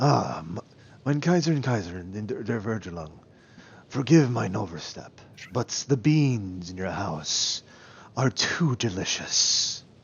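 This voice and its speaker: Using a put-on character voice, this man holds a medium pitch. His delivery is fairly slow. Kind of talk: formal, courtly.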